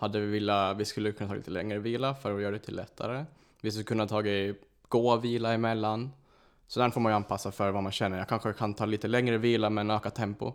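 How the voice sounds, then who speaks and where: A man speaks at a very fast pace with a fairly low pitch. His intonation is monotone and flat. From Åland, Finland. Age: 20s. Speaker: obstacle course racer. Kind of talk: casual chat.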